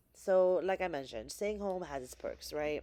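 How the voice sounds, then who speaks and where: A woman speaks with a New Jersey accent. Her tone is dark and mellow. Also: very clean recording, silent background. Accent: New Jersey American. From New Jersey, US (born in the Philippines). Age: 30s. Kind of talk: casual talk to camera.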